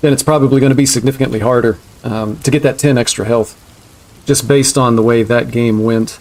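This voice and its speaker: A man with a slight southeastern US accent, medium pitch, fairly even intonation and a very fast pace. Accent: slight southeastern US twang. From US Southeast. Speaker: video game streamer. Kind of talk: live stream commentary. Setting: live stream. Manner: casual, conversational.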